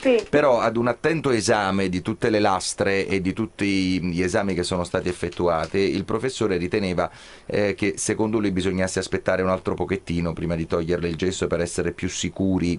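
The speaker is a man with a very deep, low pitch. His pitch variation is ordinary. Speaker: caller. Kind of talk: prank phone call. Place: studio.

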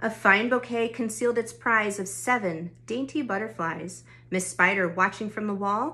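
A woman talks at a fairly high pitch with lively intonation and a moderate pace. She has a normal speaking voice. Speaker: youth club storyteller. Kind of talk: bedtime-style picture book read-aloud for kids. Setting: recorded at home during lockdown. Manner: gentle, rhythmic rhyming cadence; warm, friendly address to children.

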